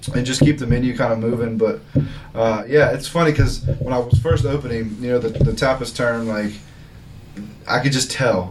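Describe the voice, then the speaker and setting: With noticeable background noise behind him, a man speaks at a medium pitch with fairly even intonation. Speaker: restaurant owner. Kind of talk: interview. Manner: fast; occasionally mumbling.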